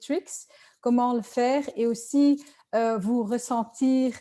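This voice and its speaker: A woman with a Dutch accent, fairly high in pitch yet dark and mellow in tone, at a very slow pace with fairly even intonation. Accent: Dutch-speaking accent in French. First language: Dutch (speaking French). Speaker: sales trainer and coach. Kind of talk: webinar presentation. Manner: hesitant, many fillers.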